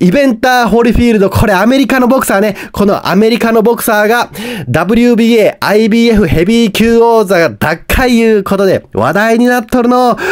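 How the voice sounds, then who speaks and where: With a Hiroshima accent, a man talks at a fairly quick pace in a high pitch with ordinary pitch variation. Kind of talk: casual news-recap talk to camera.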